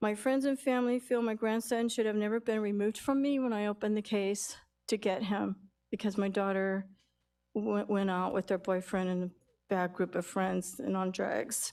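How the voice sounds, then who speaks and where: In a very clean recording with a silent background, a woman speaks in a normal speaking voice at a medium pitch and moderate pace, with fairly even intonation and very even loudness. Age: 60s. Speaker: public commenter. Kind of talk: public comment. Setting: city council meeting.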